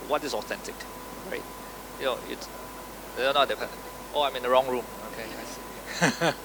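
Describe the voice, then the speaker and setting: Noticeable background noise sits behind a man speaking with a Singaporean accent. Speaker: tech company co-founder, panelist. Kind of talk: panel discussion.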